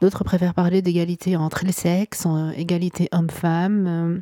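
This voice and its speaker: A woman talks at a very slow pace with a fairly low pitch. Her intonation is monotone and flat. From Morocco. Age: 30s. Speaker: podcast host. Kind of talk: solo monologue, unscripted reflection. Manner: hesitant, many fillers.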